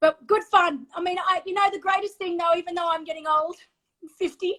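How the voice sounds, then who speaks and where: A woman's raised, projected voice in an Australian accent, extremely high in pitch, bright and sharp in tone, with fairly even intonation at a fairly quick pace. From Australia (Sydney). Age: 50s. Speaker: former professional triathlete. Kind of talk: casual chat.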